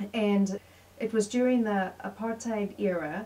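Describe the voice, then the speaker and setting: Noticeable background noise sits behind a woman's voice. She talks at a medium pitch with fairly even intonation. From South Africa, Pretoria. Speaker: interviewee. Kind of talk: interview. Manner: halting, many fillers.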